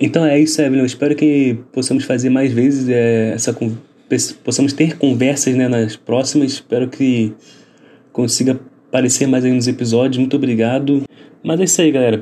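At a moderate pace, a man talks in a medium pitch with a dark, mellow tone, fairly even intonation and very even loudness. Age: 20s. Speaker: podcast host, journalism student. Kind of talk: casual chat.

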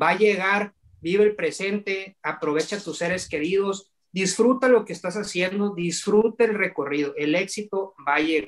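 A man's high-pitched voice, with ordinary pitch variation, moves along at a moderate pace. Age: 30s. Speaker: young entrepreneur. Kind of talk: interview. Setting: video call.

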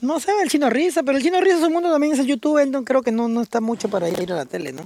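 At a very fast pace, a man speaks with an extremely high pitch. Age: 30s. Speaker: robot costume performer. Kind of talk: casual chat.

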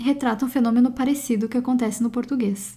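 This woman has a high-pitched voice with a dark, mellow tone. Her intonation is fairly even and her pace is moderate. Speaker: podcast host. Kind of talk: scripted narration.

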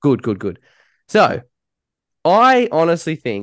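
A man with an Australian accent speaks at a moderate pace in a dry, close sound with no echo. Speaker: podcast host. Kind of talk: casual banter.

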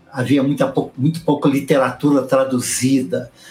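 Music plays in the background. Over it, a man with a medium pitch speaks in a fairly even intonation. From Brazil, São Paulo state (raised in São Paulo city). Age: 60s. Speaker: Baptist pastor. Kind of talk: casual interview.

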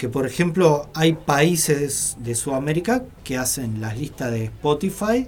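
Against noticeable background noise, a man speaks at a fairly high pitch with lively intonation. His pace is fairly slow, yet he takes hardly any pauses. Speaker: rock musician. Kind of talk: radio interview. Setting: radio studio.

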